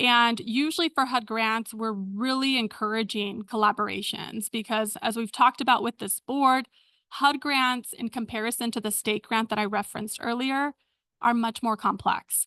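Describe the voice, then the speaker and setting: A normal speaking voice moves at a moderate pace with fairly even intonation against a quiet background. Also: woman, fairly high pitch for a woman. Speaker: county homelessness program staff presenter. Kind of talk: public meeting presentation. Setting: board meeting. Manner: frequent filler words.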